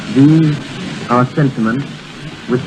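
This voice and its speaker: A man speaking with music in the background. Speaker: British diplomat presenting the phonograph. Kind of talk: formal ceremonial speech on 1928 radio broadcast. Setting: old radio broadcast recorded from disc.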